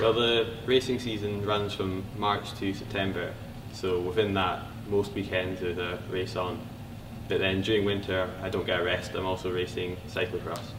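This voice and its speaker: This man speaks at a moderate pace in a fairly low pitch, with fairly even intonation and audible room echo. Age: young. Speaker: university student athlete, mountain biker. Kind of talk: interview.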